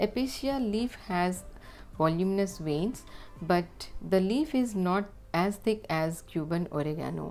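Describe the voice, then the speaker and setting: With music in the background, a woman with a Telugu accent speaks at a fairly slow pace in a calm tone, her medium pitch carried by lively intonation. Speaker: craft channel creator. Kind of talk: tutorial. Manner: calm, instructional.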